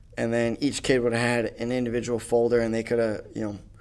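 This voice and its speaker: A man with an American accent speaks in a normal speaking voice at a medium pitch, moving at a fairly quick pace with fairly even intonation. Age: 20s. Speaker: podcast host. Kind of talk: solo monologue, casual storytelling.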